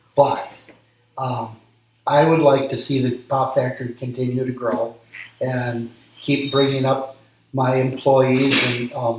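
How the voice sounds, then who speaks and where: In an American accent, a man speaks at a fairly slow pace with monotone, flat intonation and long, frequent pauses. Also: medium pitch for a man. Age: 60s. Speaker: small business owner. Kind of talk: interview. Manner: halting, frequent ums.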